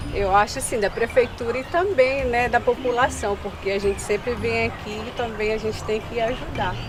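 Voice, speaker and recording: This woman has a fairly high pitch and ordinary pitch variation, talking at a moderate pace. She hardly pauses at all, and noticeable background noise sits behind her. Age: young. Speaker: interviewee, local resident. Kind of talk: street interview.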